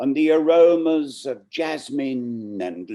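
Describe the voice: A man speaks slowly in a dark, mellow tone.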